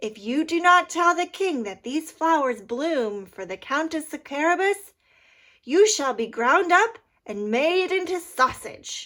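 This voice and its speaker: A woman puts on a character voice at an extremely high pitch. She talks at a fairly slow pace. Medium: read story. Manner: crafty.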